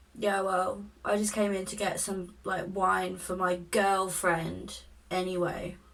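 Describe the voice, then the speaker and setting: A woman puts on a raspy character voice at a medium pitch. She speaks fairly slowly in a monotone, flat intonation. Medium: solo performance. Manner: fixated, rambling.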